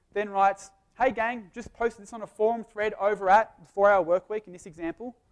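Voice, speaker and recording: A man's high-pitched voice with ordinary pitch variation, recorded dry and close with no echo. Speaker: business speaker. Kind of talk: live presentation. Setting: stage with audience. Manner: fast.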